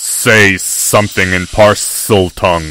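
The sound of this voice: Hissing comes through as a man puts on a character voice at a very deep, low pitch.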